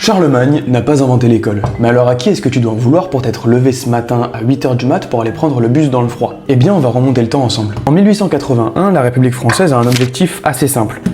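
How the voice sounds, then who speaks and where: A man's medium-pitched voice, very fast with hardly any pauses and ordinary pitch variation, amid noticeable background noise and audible room echo. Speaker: history explainer video creator. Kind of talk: scripted educational narration. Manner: animated.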